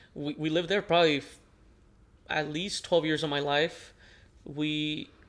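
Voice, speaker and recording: A man with a Spanish accent speaks at a moderate pace in a fairly high, monotone, flat voice. The recording is very clean, with a silent background. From northern Mexico border (Nogales, Sonora). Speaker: podcast co-host. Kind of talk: casual chat. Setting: living room.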